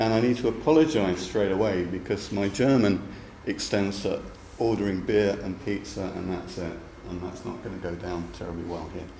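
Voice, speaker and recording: A man with a London accent talks at a fairly low pitch with ordinary pitch variation. Audible room echo surrounds his voice. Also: moderate pace. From London, England. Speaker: university lecturer, program director. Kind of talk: academic seminar talk. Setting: seminar room with live audience. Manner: hesitant, with fillers and repetitions.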